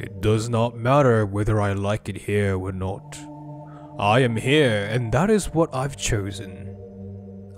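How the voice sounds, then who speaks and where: Clear music plays in the background as a man performs a put-on character voice. It is raspy and fairly low-pitched, delivered at a fairly slow pace. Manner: final, resigned.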